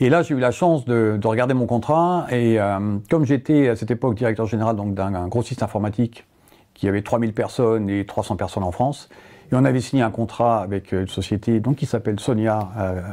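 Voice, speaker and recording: A man's dark, mellow voice moves at a fairly quick pace. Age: 60s. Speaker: company founder, cancer survivor. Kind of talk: testimony. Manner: hesitant, with frequent filler sounds.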